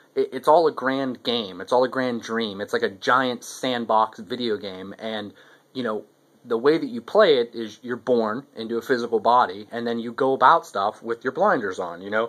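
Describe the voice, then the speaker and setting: Medium in pitch, a man's voice shows ordinary pitch variation. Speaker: video blogger. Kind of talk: casual monologue. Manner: fast; halting, many repetitions.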